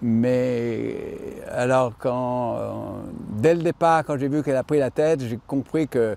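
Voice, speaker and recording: A man speaks in a dark, mellow tone. His pace is very slow. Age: 70s. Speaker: amateur harness driver and horse owner. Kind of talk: interview.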